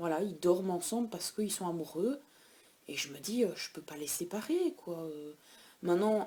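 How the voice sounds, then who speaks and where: A woman with a dark, mellow tone speaks at a fairly slow pace and fairly low pitch, with ordinary pitch variation. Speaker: pet vlogger. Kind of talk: casual vlog. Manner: hesitant with many fillers.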